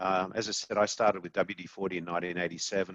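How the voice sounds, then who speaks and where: Speaking at a very fast pace with an Australian accent, a man with a very deep, low voice keeps his intonation fairly even on a dry, close recording with no echo. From Australia, Sydney. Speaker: company CEO. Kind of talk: podcast interview.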